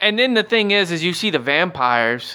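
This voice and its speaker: A man with a Southern US accent has a bright, sharp tone. He speaks at a moderate pace with very wide pitch swings. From US South. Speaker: podcast co-host. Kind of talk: casual chat.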